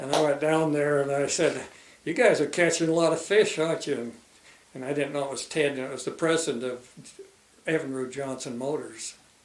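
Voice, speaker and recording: There is noticeable background noise behind a man's fairly high voice. He talks at a fairly quick pace with fairly even intonation. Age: 90s. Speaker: retired fisheries biologist. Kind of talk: oral history interview.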